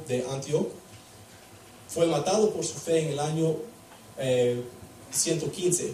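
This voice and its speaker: A non-native accent at a fairly slow pace with ordinary pitch variation, amid noticeable background noise and audible room echo. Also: man. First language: English (speaking Spanish). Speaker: preacher. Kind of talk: sermon. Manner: halting.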